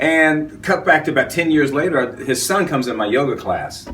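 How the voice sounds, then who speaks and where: A man talks with an American accent. Room echo is audible, along with noticeable background noise. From US South. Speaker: yoga teacher and actor. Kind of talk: interview. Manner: fast.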